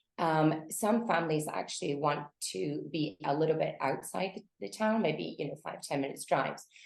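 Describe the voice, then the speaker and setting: A woman with a Scottish accent speaks at a moderate pace in a very deep, low pitch, with very wide pitch swings and vocal fry. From Scotland. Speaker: realtor. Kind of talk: interview. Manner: hesitant, many fillers.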